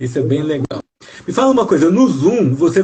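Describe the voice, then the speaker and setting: At a moderate pace, a man with a high voice speaks with lively intonation. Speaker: teacher and live host. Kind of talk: live video interview.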